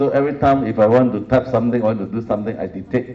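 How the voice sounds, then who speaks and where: A man speaks at a medium pitch with a Singaporean accent. His intonation is fairly even. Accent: Singlish. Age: 60s. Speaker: professor. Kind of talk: lecture.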